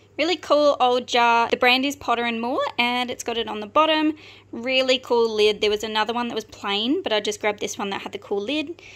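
A woman speaks in a high pitch at a fairly quick pace. Her pitch variation is ordinary. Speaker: online reseller. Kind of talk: casual haul show-and-tell. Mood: upbeat, enthusiastic. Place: home room. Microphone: phone near.

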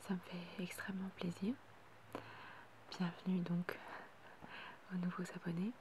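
Soft-spoken and at a very slow pace, the voice comes through noticeable background noise. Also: dry sound with no echo. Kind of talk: casual vlog chat, thanking subscribers. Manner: soft-spoken, quiet ASMR voice.

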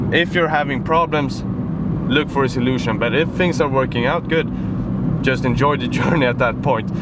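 A man's voice, dry and without echo, competes with loud background noise. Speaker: fitness vlogger. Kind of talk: casual vlog chat. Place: car.

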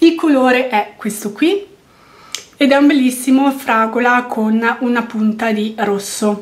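Pitched high, a woman talks very slowly with ordinary pitch variation. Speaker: beauty vlogger. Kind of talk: product review monologue.

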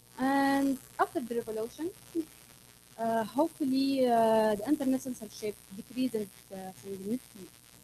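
A woman's high voice with a dark, mellow tone, ordinary pitch variation and long, frequent pauses, over light background noise. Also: moderate pace. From Tunisia. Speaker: security activist. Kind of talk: panel discussion. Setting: stage with audience. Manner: halting. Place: hall.

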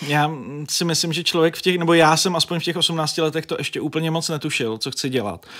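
The tone is bright and sharp, with fairly even intonation. It moves at a fairly quick pace over a quiet background. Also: man, fairly high pitch for a man. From northern Bohemia, Děčín; northern Bohemia. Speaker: journalist and editor-in-chief; journalist. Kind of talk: interview. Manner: talkative, rambling with fillers. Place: studio. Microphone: studio mic.

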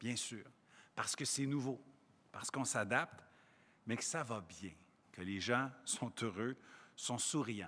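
A man at a very slow pace, medium in pitch, with a bright, sharp tone. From Quebec. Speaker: provincial education minister. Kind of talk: press conference. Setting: in a school. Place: hall. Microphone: podium.

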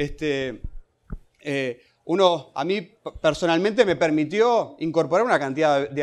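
With a normal speaking voice, a man talks at a fairly high pitch and with ordinary pitch variation. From Uruguay. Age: 30s. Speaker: social policy director; panelist. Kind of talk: panel talk. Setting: standing at a panel with audience. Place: hall. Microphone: handheld.

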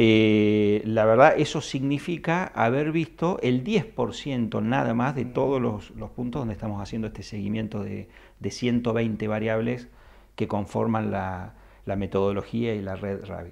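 A man at a fairly slow pace with ordinary pitch variation, over a quiet background. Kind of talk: interview answer. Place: office. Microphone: handheld.

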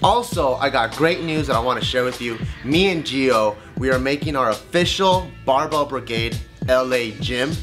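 A man at a moderate pace with ordinary pitch variation, clear music in the background. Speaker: channel host. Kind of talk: end-card promo talk to camera. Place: home room.

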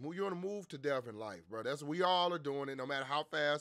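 A man speaks with a bright, sharp tone and lively intonation. The background is quiet. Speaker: streamer. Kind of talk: casual stream chat, storytelling. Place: home room. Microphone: headset.

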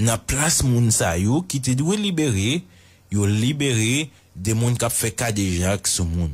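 A man speaks at a fairly slow pace in a somewhat breathy voice with very even loudness, recorded very cleanly against a silent background. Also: medium pitch for a man, lively intonation. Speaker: news commentator. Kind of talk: news commentary.

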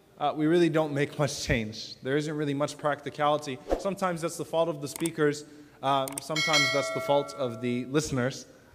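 A man talks at a fairly quick pace with fairly even intonation. Noticeable background noise runs underneath. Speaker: speaker. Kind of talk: lecture. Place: hall. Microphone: lapel.

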